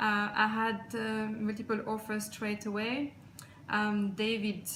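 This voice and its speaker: In a non-native accent, a woman speaks at a medium pitch in a flat monotone, with audible room echo. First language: not English. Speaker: client giving a testimonial. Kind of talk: testimonial. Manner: halting.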